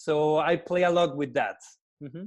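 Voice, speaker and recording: A man with a Spanish accent speaks in a high voice. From Mexico. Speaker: wedding photographer. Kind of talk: interview. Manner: halting, many repetitions.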